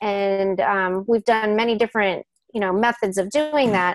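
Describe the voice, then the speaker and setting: A woman talks with a medium pitch and fairly even intonation. Her pace is moderate. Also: dry, close sound with no echo. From United States. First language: Spanish. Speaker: educational technologist and Spanish teacher. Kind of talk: webinar presentation. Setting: online webinar. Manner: many fillers, halting.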